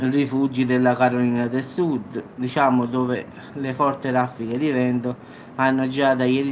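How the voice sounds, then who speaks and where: A man's medium-pitched, monotone, flat delivery at a fairly slow pace, over noticeable background noise. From Salerno, southern Italy. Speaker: YouTube news commentator. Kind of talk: casual talk to camera.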